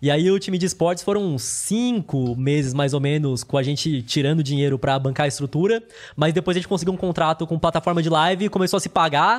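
In an unremarkable speaking voice, a man with fairly high pitch talks at a fairly quick pace, with ordinary pitch variation and hardly any pauses. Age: 20s. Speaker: finance YouTuber. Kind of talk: casual interview.

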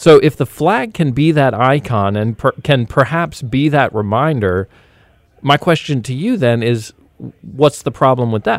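The voice is an unremarkable speaking voice, moving at a fairly slow pace. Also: man, medium pitch for a man, ordinary pitch variation. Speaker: podcast host. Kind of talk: casual podcast chat. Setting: in studio while cohost calls in.

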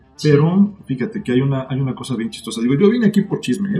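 A man at a very fast pace, fairly high in pitch with very wide pitch swings, over music in the background. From Mexico City. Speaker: author. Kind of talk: casual chat.

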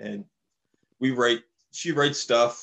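With a Maritime Canadian accent, a man speaks at a medium pitch and a fairly slow pace, keeping his intonation fairly even. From Saint John, New Brunswick, Canada. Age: 50s. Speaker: drummer. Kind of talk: casual chat.

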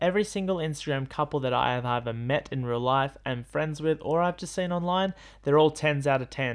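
A man talks at a fairly quick pace in an animated tone. His pitch is fairly high and varies in an ordinary way. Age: 20s. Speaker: podcast host. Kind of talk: casual monologue. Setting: home bedroom.

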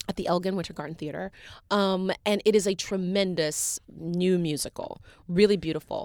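A woman with an American accent uses a normal speaking voice at a medium pitch and moderate pace, with ordinary pitch variation, in a very clean recording with a silent background and a dry, close sound with no echo. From US South, Chattanooga, Tennessee. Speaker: Broadway actress. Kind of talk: interview. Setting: studio.

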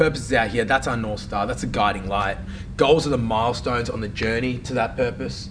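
Very fast talk from a man of medium pitch, fairly even in intonation, with audible room echo and noticeable background noise. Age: 30s. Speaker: fitness and mindset coach. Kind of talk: casual interview chat. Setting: studio.

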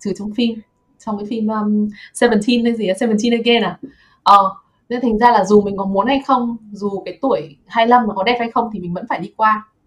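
A woman with a fairly high pitch speaks at a moderate pace, somewhat breathy. Her intonation stays fairly even. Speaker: podcast host. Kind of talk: casual chat.

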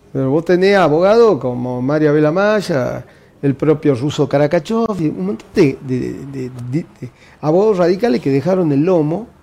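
This man's voice sits fairly high and moves at a moderate pace. Noticeable background noise runs underneath. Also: lively intonation. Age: 60s. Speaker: party official and university administrator. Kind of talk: interview.

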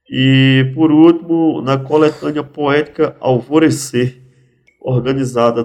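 A man speaks at a medium pitch with ordinary pitch variation, in an ordinary speaking voice. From Pernambuco agreste/sertão, Brazil (teen years in São Paulo). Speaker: poet and cordel writer. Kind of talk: casual interview.

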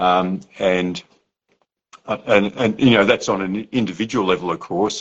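With an Australian accent, a man speaks at a moderate pace in a very deep voice with fairly even intonation. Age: old. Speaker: podcast host. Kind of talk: casual chat. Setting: video call.

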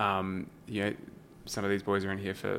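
A man speaks with an Australian accent. His tone is bright and sharp, and he moves at a fairly quick pace. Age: young. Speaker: alternative protein think tank director. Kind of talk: casual interview.

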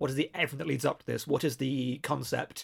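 A man speaks at a very fast pace. His voice carries vocal fry. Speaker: podcast host and English teacher. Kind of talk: casual interview conversation. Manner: enthusiastic, effusive.

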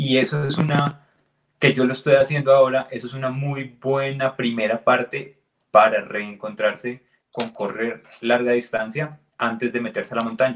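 This man has a normal speaking voice, pitched at medium height, with fairly even intonation. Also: moderate pace. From Colombia, Neiva. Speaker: podcast co-host. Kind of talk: casual chat.

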